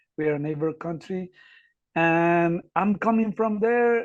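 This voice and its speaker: A man speaks at a fairly slow pace with a Spanish accent. His pitch sits high and varies in an ordinary way. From Ecuador. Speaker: academic researcher and volunteer. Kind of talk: podcast interview. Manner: halting, many fillers.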